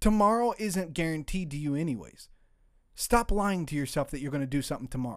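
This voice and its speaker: Animated and lively in intonation, a fairly high-pitched man talks at a very fast pace in a very clean recording with a silent background. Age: 20s. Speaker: podcast guest discussing faith and prayer. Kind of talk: casual chat. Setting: studio.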